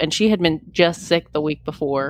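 A woman with an ordinary speaking voice, fairly low in pitch, ordinary pitch variation, at a fairly quick pace. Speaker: podcast host. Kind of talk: casual chat.

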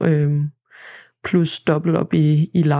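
A woman speaks in a very deep, low pitch. Her tone is dark and mellow. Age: 20s. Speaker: agricultural student. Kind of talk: interview. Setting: studio. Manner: hesitant, many fillers.

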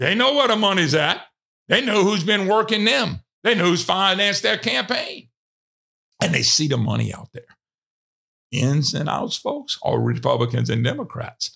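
A raised, projected voice with a Louisiana accent carries a bright, sharp tone at a moderate pace. Its pitch swings very widely. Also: man, high pitch for a man. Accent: Louisiana Southern US. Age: 60s. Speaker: radio host. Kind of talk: casual monologue.

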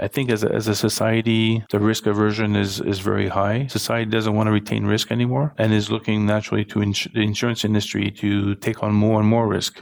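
Over noticeable background noise, a man talks at a fairly quick pace with hardly any pauses, fairly low in pitch, monotone and flat, with very even loudness. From France. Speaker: insurance executive. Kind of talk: interview. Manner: halting.

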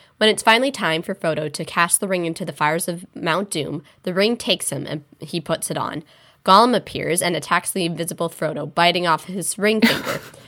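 A woman talks in a bright, sharp tone, her pitch varying in an ordinary way. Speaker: podcast co-host. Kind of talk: casual chat. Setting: remote recording.

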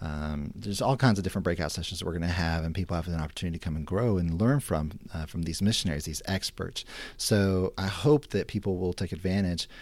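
A man with a very deep, low pitch at a very fast pace, ordinary pitch variation and hardly any pauses. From Mexico. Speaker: missions minister. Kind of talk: interview, casual chat.

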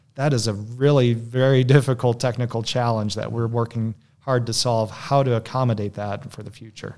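On a very clean recording with a silent background, a man talks at a fairly quick pace in a plain, everyday voice, medium in pitch and with fairly even intonation. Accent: American. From US Midwest, Michigan. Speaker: defense company executive. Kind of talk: interview.

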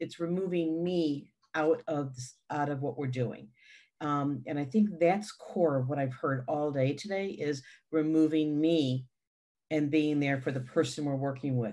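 At a fairly slow pace, a woman speaks with a very deep, low pitch and a dark, mellow tone over a quiet background. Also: ordinary pitch variation. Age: 60s. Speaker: youth treatment specialist. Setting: video call, morning.

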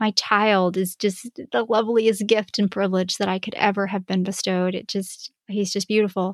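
A woman of medium pitch talks at a fairly quick pace with fairly even intonation in a dry, close sound with no echo. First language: Spanish. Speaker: podcast host, music teacher and homeschooling mom. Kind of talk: solo podcast monologue, casual and conversational. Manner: conversational, friendly, with some hesitations.

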